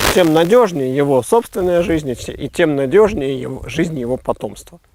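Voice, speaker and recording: This is a man with an ordinary speaking voice. He talks at a moderate pace with lively intonation. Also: fairly high pitch for a man. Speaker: philosopher. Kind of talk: explanatory philosophical conversation.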